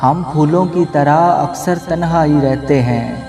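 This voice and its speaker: Music plays in the background as a man with a fairly high pitch speaks with fairly even intonation. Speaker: radio jockey. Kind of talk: poetry reading.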